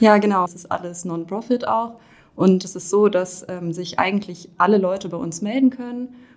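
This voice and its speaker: The speaker has an unremarkable speaking voice with big swings in loudness. The pace is moderate and the pitch varies in an ordinary way. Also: woman, medium pitch for a woman. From Rhineland-Palatinate, Germany. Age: 20s. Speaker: law student. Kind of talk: casual interview.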